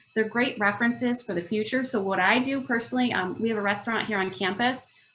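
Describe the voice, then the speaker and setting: Against noticeable background noise, a woman with a fairly high pitch speaks at a very fast pace with fairly even intonation. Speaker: food business workshop presenter. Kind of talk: online workshop presentation.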